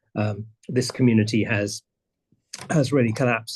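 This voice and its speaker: A somewhat breathy man speaks at a moderate pace with fairly even intonation. The background is quiet. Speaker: presenter on community land stewardship. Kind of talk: conference presentation. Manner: halting, many repetitions.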